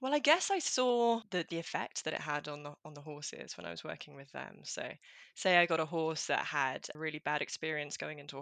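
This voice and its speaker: The sound is dry and close, with no echo. A woman with an English accent speaks at a fairly quick pace. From rural England. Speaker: clinical psychologist. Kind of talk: interview.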